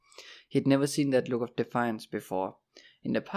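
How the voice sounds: Against a quiet background, someone reads in a natural reading voice.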